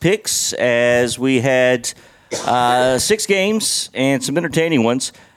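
This is a man with a normal speaking voice at medium pitch. His intonation is lively. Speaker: lead podcast host. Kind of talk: casual sports chat. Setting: recorded on a porch.

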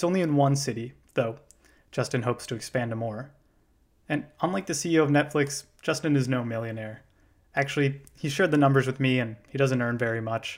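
A man with an unremarkable speaking voice, medium pitch and ordinary pitch variation at a fairly quick pace, on a very clean recording with a silent background. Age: 20s. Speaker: podcast host and first-year beekeeper. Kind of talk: scripted narration.

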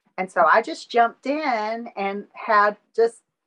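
In a Southern US accent, a woman speaks at a fairly high pitch. Her intonation is lively. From Alabama. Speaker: artist. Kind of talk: interview.

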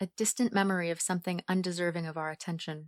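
At a very fast pace and with fairly even intonation, the voice comes through a very clean recording with a silent background and a dry, close sound with no echo. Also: woman. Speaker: voice actor narrating story.

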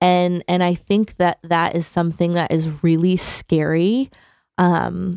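Speaking very slowly with an American accent, a woman with a fairly low voice keeps her intonation fairly even, and the sound is dry and close with no echo. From Connecticut (Hamden, near New Haven). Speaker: theater education manager. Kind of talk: radio interview.

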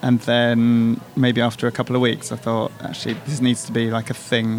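At a moderate pace and with hardly any pauses, a man talks in a medium pitch. His intonation is monotone and flat, and background noise is noticeable. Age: 40s. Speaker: artist. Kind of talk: casual chat. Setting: coffee shop.

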